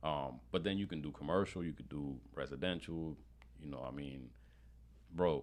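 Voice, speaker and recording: A man with a New York accent speaks at a moderate pace in a very deep, low voice, his loudness swinging widely, his pitch varying in an ordinary way, and his speech broken by long, frequent pauses. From Brooklyn, New York (born in Panama). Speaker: marketing specialist and real estate investor. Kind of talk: podcast interview. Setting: studio.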